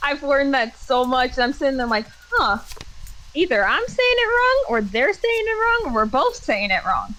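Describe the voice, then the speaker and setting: Her voice raised and projected, a woman speaks at a high pitch with very wide pitch swings and a moderate pace. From Minnesota, military upbringing. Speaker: streamer. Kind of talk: casual chat. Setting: live stream.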